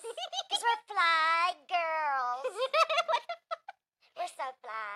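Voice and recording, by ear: In a squeaky put-on character voice, a woman speaks at an extremely high pitch. Her delivery is very slow, with very wide pitch swings.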